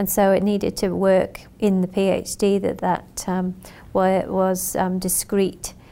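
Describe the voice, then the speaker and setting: A woman's medium-pitched, dark, mellow voice at a fairly slow pace, with monotone, flat intonation, in a very clean recording with a silent background. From UK. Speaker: nurse researcher and lecturer. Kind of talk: interview. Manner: halting, many fillers.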